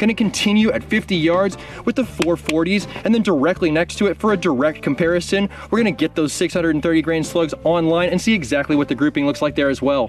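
Clear music plays behind a man speaking at a high pitch and a fairly quick pace. His pitch varies in an ordinary way, and the sound is dry with no echo. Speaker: airgun channel host. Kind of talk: casual vlog commentary. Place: open country. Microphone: camera far.

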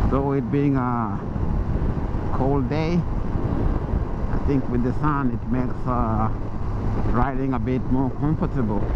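The speech moves at a fairly slow pace in a dry sound with no echo, under loud background noise. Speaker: motovlogger rider. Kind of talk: casual vlog chat. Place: motorbike. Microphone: helmet.

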